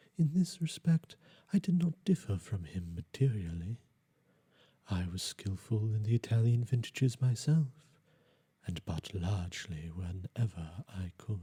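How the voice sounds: A man speaks at a fairly slow pace in a fairly low, dark and mellow voice with a husky, rough edge and lively intonation.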